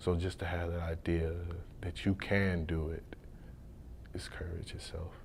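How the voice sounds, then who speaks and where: Speaking with an American accent, a man with a very deep, low, somewhat breathy voice talks in a monotone, flat way at a fairly slow pace, with long, frequent pauses and audible room echo. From US Midwest, Detroit, Michigan. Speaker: college football player. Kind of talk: interview.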